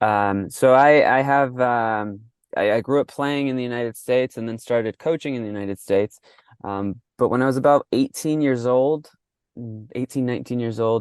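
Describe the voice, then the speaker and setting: Delivered with fairly even intonation, a man's voice with an American accent has a dry, close sound with no echo. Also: medium pitch for a man, moderate pace. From US (New York), born in Mexico. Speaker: soccer coach and coach developer. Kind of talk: podcast interview. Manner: halting with many repeated words.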